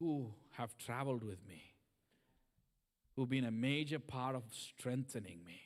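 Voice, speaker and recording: Speaking at a fairly slow pace, a man with medium pitch takes long, frequent pauses. His loudness swings widely while his pitch varies in an ordinary way. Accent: non-native. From third world country. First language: not English. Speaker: guest preacher. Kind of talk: sermon.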